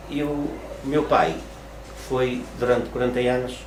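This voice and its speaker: There is noticeable background noise and audible room echo. A man speaks at a fairly slow pace and a medium pitch. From Portugal, Porto (Ribeira). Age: 60s. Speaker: retired craftsman. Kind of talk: interview. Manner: halting, many repetitions and fillers.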